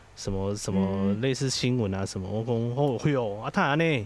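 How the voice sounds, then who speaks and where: A man is talking. His intonation is lively. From Taiwan, Chiayi. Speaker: social worker and podcaster. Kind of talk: casual chat.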